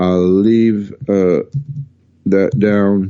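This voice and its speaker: This man's voice sits at a fairly low pitch. His tone is dark and mellow. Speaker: astronomy show host. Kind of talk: live stream talk. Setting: live stream. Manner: halting.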